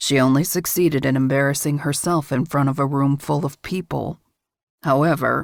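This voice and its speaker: A woman's husky, put-on character voice, very deep and low in pitch, with fairly even intonation. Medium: read story. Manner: measured, controlled.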